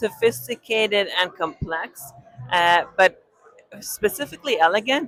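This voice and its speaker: A woman with a slight Israeli accent talks at a moderate pace. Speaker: winemaker. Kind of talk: on-site interview. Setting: live wine tasting event.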